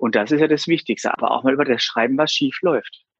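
Lively intonation marks this man's fairly high pitch. He has a plain, everyday voice. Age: 30s. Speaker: insurance broker and business owner. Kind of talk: interview.

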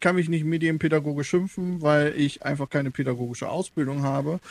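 In a normal speaking voice, a man with a fairly high pitch talks with fairly even intonation. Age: 30s. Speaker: game developer and media education worker. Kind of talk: casual interview.

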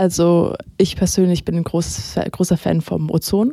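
A woman's fairly low pitch in a dark, mellow tone. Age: 20s. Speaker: web portal volunteer. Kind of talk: casual interview.

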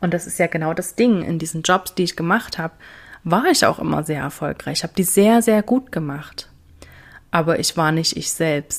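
A woman speaks at a moderate pace in a normal speaking voice. Her pitch is fairly low, with ordinary variation. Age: 30s. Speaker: business coach. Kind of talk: casual chat.

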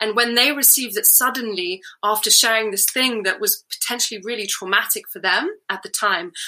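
The speaker has a British accent and a bright, sharp tone, with ordinary pitch variation at a moderate pace. The recording is very clean, with a silent background. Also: woman. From UK. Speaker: NGO founder and storytelling coach, former chemist. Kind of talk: interview.

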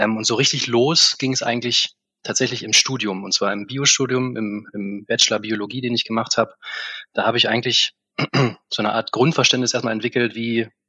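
Very fast and monotone, a man talks with flat intonation. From Harz region, Germany. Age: 30s. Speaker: corporate sustainability manager. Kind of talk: interview.

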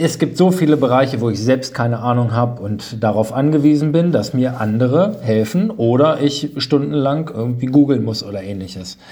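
Lively intonation comes at a moderate pace with hardly any pauses, over noticeable background noise. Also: man, medium pitch for a man. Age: 30s. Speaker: insurance agent and podcast host. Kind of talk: podcast monologue. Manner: animated.

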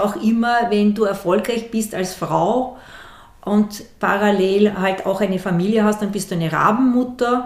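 A woman speaks at a moderate pace with medium pitch and fairly even intonation, over noticeable background noise and audible room echo. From Austria, Vienna. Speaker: university executive and former corporate manager. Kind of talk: interview.

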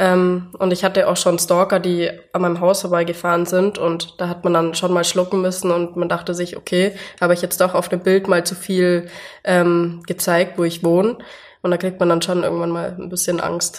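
A woman's fairly low voice, monotone with flat intonation, at a moderate pace. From Allgäu, Bavaria, southern Germany. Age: 20s. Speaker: Instagram influencer. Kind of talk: interview.

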